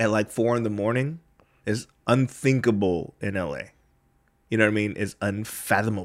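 A man with an American accent and a fairly low pitch, at a moderate pace with ordinary pitch variation and long, frequent pauses. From US West Coast. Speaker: comedian and podcast host. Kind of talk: casual chat. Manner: animated.

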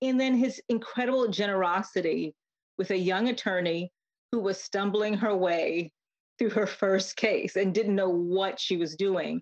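Her voice sits at a medium pitch, with an American accent and ordinary pitch variation. The woman speaks at a fairly slow pace, with a dry, close sound and no echo. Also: very even loudness. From Connecticut, US. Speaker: law professor and civil rights organization president. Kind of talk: interview. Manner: hesitant, with fillers.

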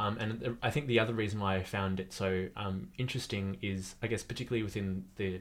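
Recorded very cleanly with a silent background, a man with an Australian accent speaks at a fairly low pitch. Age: 20s. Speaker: writer and photographer. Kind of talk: casual chat. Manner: animated.

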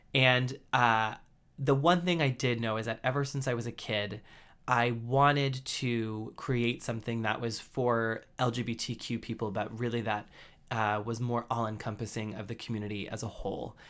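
It is a normal speaking voice from a man, at a medium pitch and moderate pace. His intonation is fairly even, and the recording is very clean with a silent background. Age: 20s. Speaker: media executive, editor. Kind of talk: interview. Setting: podcast studio.

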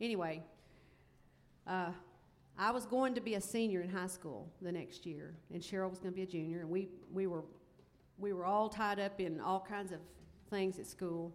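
A woman's medium-pitched speech in a Southern US accent, moderately paced, fairly even in intonation, with long, frequent pauses. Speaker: country music singer in family band. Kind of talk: casual onstage conversation. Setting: festival stage with audience.

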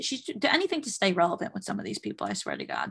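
Vocal fry runs through this woman's voice. She moves along at a fairly quick pace. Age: 20s. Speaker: entertainment podcast host. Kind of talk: casual celebrity gossip recap. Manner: animated.

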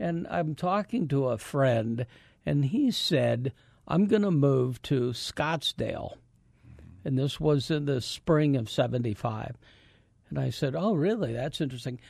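In an ordinary speaking voice, a man with an American accent talks at a fairly slow pace and a fairly high pitch, his intonation lively against a quiet background. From Iowa, US Midwest. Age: 60s. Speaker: pastor and former radio interviewer. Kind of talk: casual interview. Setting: studio.

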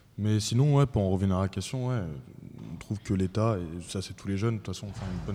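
A man talks at a fairly quick pace with a fairly low pitch and a dark, mellow tone. The recording is very clean with a silent background. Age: 20s. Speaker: civic service volunteer, debate participant. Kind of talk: panel debate.

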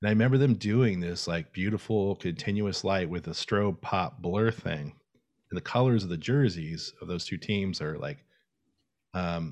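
Against a quiet background, a man with a plain, everyday voice speaks at a fairly low pitch with ordinary pitch variation. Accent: American. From US South, Florida. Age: 40s. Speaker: photographer. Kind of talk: casual interview.

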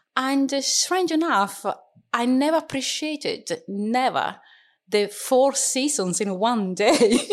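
Very slowly and with lively intonation, a woman with an Italian accent speaks at a high pitch in a very clean recording with a silent background. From Sicily, Italy (Catania). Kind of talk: interview. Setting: studio.

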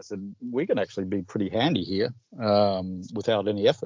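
A man speaks in an ordinary speaking voice, pitched fairly low. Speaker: betting tipping service founder. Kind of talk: casual interview.

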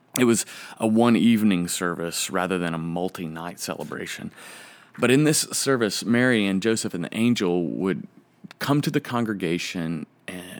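A man's plain, everyday voice, fairly low in pitch, at a moderate pace. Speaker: podcast host and preacher. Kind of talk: reflective solo monologue, reading liturgy aloud.

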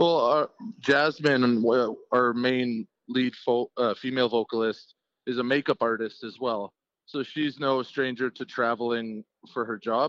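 A man talks in an ordinary speaking voice at medium pitch and a fairly slow pace. The intonation is fairly even, and the sound is dry and close with no echo. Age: 30s. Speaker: lead singer of a cover band and steel worker. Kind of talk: casual interview.

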